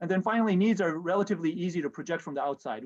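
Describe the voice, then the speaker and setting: A man at a very fast pace. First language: Japanese. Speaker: professor. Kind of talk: lecture. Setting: video call. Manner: halting, many fillers.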